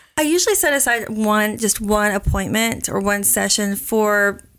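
A woman uses an ordinary speaking voice with an American accent, a medium pitch and ordinary pitch variation. She speaks at a moderate pace on a very clean recording with a silent background. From Oklahoma. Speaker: counselor. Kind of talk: interview.

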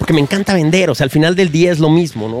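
A man with a fairly high pitch and ordinary pitch variation is heard through noticeable background noise. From Mexico City. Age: 40s. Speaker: film producer and director. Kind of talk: casual interview chat. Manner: animated.

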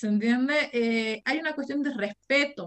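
A woman is speaking. Her voice sits high in pitch. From Argentina, Jujuy. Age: 20s. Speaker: university lecturer and anti-racism activist. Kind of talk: interview.

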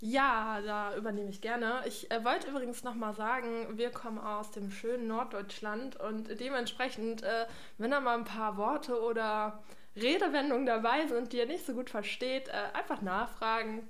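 Speaking at a moderate pace, a woman with a fairly high pitch and ordinary pitch variation is recorded with audible room echo and noticeable background noise. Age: 20s. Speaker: trainee geriatric nurse, podcast co-host. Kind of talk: casual chat.

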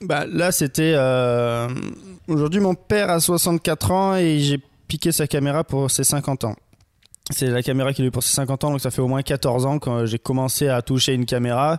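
A man at a fairly slow pace, with ordinary pitch variation and very even loudness, on a very clean recording with a silent background. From Marseille, southern France. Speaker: photographer and videographer. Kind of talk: casual interview chat. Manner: hesitant, many fillers.

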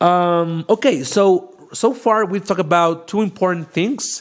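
Speaking at a fairly slow pace, a man has a strong non-native accent. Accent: thick non-native. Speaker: podcast host and data science educator. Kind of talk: live-streamed educational talk. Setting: LinkedIn Live stream. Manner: halting, many fillers.

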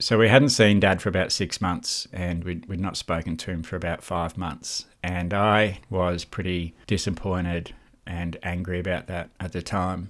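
Speaking with an Australian accent at a moderate pace, a man with a very deep, low pitch uses fairly even intonation and hardly any pauses, recorded very cleanly against a silent background. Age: 40s. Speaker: mental health podcast host. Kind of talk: personal monologue.

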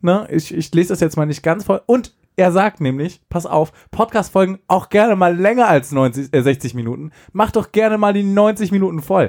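A high-pitched male voice with lively intonation. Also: moderate pace. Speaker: podcast co-host. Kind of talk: casual chat.

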